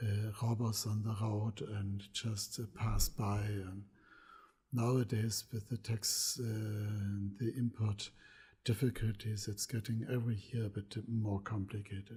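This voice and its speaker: Somewhat breathy with a dark, mellow tone, a man speaks at a fairly slow pace with monotone, flat intonation on a very clean recording with a silent background. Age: 70s. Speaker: pigment maker. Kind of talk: lecture.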